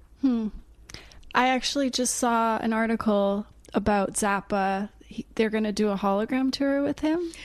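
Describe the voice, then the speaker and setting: With an unremarkable speaking voice, a woman talks at a moderate pace and a fairly high pitch, her pitch varying in an ordinary way over a quiet background. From Canada. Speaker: podcast co-host. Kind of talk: casual interview. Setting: in person.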